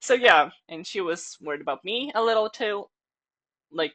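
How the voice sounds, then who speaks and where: Her medium-pitched voice has a bright, sharp tone and vocal fry, swinging very widely in pitch as the woman speaks at a moderate pace. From Ukraine. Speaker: vlogger. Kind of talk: personal video diary monologue. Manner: casual, hesitant.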